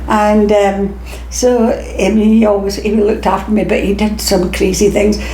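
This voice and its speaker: A woman at a moderate pace and very even loudness, with noticeable background noise. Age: 80s+. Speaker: former stage actress. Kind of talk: interview answer.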